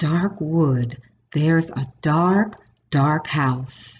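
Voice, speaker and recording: A put-on character voice speaks quietly at a middle pitch. The pace is very slow. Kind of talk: whispered. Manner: ghost story telling, hushed and spooky.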